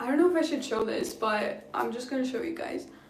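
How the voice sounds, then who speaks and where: Noticeable background noise and audible room echo surround a woman with a high pitch. She talks at a fairly quick pace with ordinary pitch variation. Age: 20s. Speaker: beauty and lifestyle vlogger. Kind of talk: casual livestream chat. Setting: live stream at home.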